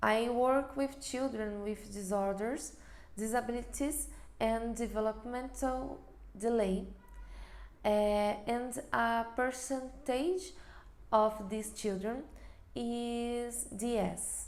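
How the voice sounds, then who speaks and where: Speaking with a Brazilian accent, a woman has a fairly high pitch and ordinary pitch variation, with audible room echo around her. She talks at a very slow pace with long, frequent pauses. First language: Portuguese. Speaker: occupational therapist. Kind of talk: webinar presentation. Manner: halting.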